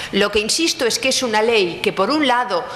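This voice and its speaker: A woman's fairly high pitch with lively intonation, plus audible room echo and noticeable background noise. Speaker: law professor. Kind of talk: conference talk.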